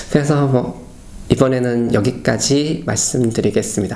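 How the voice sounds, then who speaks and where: A man speaks with ordinary pitch variation while audible room echo surrounds him. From South Korea. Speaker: Korean expat in Berlin. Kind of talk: casual personal talk to camera. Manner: hesitant, with many fillers.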